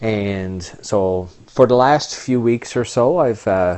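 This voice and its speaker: A man with a Canadian accent speaks at a fairly low pitch. His pitch varies in an ordinary way. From Canada. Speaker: online business owner and vlogger. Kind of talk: casual vlog monologue. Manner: halting, with many fillers.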